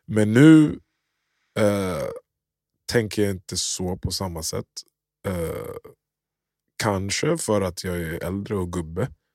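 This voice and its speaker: Very slowly and with long, frequent pauses, a man talks in a fairly low voice with lively intonation. The recording is very clean with a silent background, and the sound is dry and close with no echo. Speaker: podcast host. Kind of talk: casual chat.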